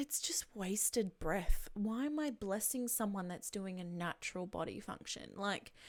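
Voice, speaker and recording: On a very clean recording with a silent background, a woman with an Australian accent talks at a fairly slow pace and a medium pitch, with lively intonation and hardly any pauses. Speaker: podcaster, streamer, voice over actress. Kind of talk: casual podcast talk.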